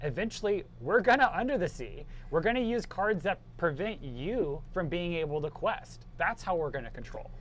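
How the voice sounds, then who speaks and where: Loud speech with very wide pitch swings at a moderate pace. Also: man, high pitch for a man. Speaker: tournament commentator. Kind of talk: live commentary. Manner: animated.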